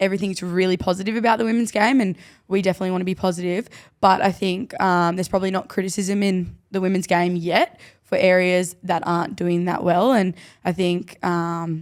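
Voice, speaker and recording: A woman's medium-pitched voice with an Australian accent, fairly quick and fairly even in intonation, on a very clean recording with a silent background. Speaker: rugby league player and podcast co-host. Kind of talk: casual chat.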